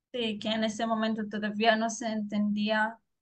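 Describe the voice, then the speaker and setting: A woman with a fairly high pitch speaks at a very slow pace. Her voice is somewhat breathy and her intonation monotone and flat. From Israel. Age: 20s. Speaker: former soldier. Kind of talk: interview testimony. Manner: halting.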